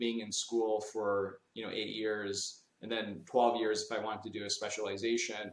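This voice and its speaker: The pace is moderate. The speaker is a man. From Canada, Toronto area, from age ten; Middle East before. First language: not English. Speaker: dental business executive. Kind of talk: podcast interview. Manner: many fillers and false starts.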